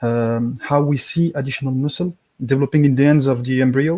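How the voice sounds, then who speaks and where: The dry, close sound has no echo as a man speaks at a moderate pace. His tone is dark and mellow, with a fairly high pitch. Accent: French. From France. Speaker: caller. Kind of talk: question to panel. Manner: halting.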